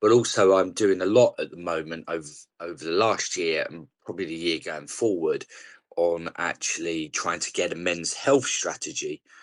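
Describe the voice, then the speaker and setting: A man with a strong South East London accent speaks at a moderate pace, his loudness swinging widely. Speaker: charity leader and campaigner. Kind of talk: podcast interview.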